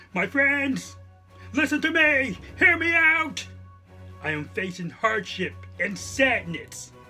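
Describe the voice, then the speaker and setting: A man's cartoonish character voice, high-pitched and fairly slow, broken by long, frequent pauses, with faint music in the background. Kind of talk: cyber security awareness skit. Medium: puppet. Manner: distressed, pleading.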